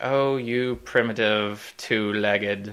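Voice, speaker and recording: A man puts on a character voice with a pompous tone. His pitch is fairly low. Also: fairly slow pace. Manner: pompous, villainous, drawn out.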